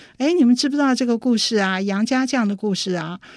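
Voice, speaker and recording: With lively intonation and a fairly high pitch, a woman talks in an ordinary speaking voice. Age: 60s. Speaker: opera playwright and artistic director. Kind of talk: interview. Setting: studio.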